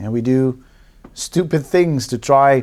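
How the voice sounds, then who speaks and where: The speaker has a Dutch accent and talks fairly slowly with lively intonation. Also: man. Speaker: relationship coach and therapist, video host. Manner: casual, conversational.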